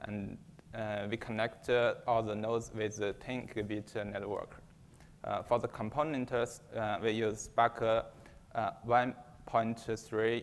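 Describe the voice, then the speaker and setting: A man with a Chinese accent speaks fairly slowly at a medium pitch, his intonation monotone and flat. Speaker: software engineer presenting benchmarks. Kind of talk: conference talk. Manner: halting, many fillers.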